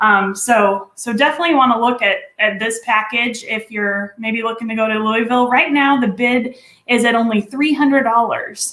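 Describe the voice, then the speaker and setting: A woman's bright, sharp tone with a Texan accent, fairly high in pitch. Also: moderate pace. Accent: Texas Southern. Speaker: event co-host, auction presenter. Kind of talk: live online event hosting, casual banter. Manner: animated.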